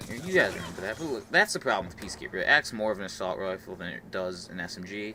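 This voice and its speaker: A man speaks at a very fast pace with a fairly low pitch. Noticeable background noise runs under his voice. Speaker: gaming YouTuber. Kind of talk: gameplay commentary. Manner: casual, filler-heavy.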